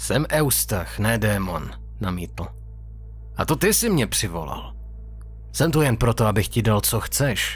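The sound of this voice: Using a very deep, low pitch with vocal fry, a man swings widely in pitch and leaves long, frequent pauses.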